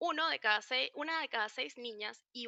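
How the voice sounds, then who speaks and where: The woman's tone comes across bright and sharp. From Venezuela. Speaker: psychologist. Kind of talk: online talk. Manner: fast.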